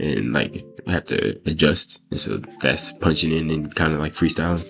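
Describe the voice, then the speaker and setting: Moderate pace, with music in the background. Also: man. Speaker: rapper and video creator. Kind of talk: casual Q&A vlog. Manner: rambling with many fillers.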